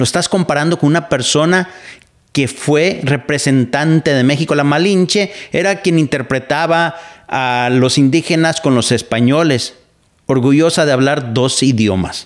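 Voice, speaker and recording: A man speaks at a fairly slow pace in a fairly high pitch, with ordinary pitch variation. He has an unremarkable speaking voice, and his loudness stays very even. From Mexico. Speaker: podcast host and radio broadcaster. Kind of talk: casual commentary monologue.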